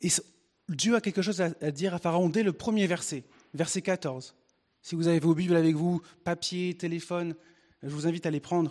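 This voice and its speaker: At a moderate pace and in a high voice, a man speaks with fairly even intonation and long, frequent pauses over a quiet background. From northern France (Picardy). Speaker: preacher. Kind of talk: sermon.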